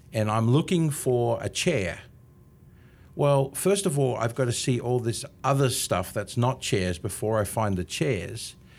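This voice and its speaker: A man speaks at a fairly slow pace. He has an Australian accent. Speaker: marketing consultant. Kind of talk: casual interview.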